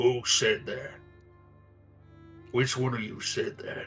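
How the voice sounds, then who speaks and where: A man uses a put-on character voice. Clear music plays in the background. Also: fairly slow pace. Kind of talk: showman's auction patter. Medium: actual play. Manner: theatrical, contemptuous.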